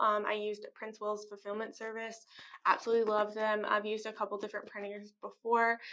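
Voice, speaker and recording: Over a quiet background, a woman speaks in a bright, sharp tone with monotone, flat intonation. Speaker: artist and vlogger. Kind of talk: casual vlog talk to camera. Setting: rented studio office. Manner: hesitant, many fillers.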